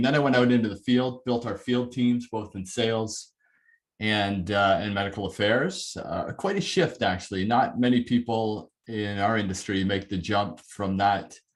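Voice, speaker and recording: With a Canadian accent and a normal speaking voice, a man talks at a moderate pace, fairly low in pitch with ordinary variation, against a quiet background. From Canada, near Toronto. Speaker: corporate learning and development head. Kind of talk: webinar talk.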